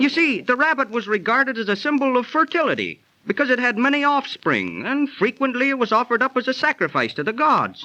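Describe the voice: In a put-on character voice, a man talks at a fairly quick pace with an extremely high pitch, big pitch swings and a bright, sharp tone.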